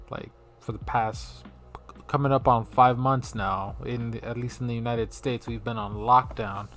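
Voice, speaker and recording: Over music in the background, a man talks at a moderate pace with big swings in loudness. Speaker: podcast host. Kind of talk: casual solo podcast rant. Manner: lively; casual, filler-heavy.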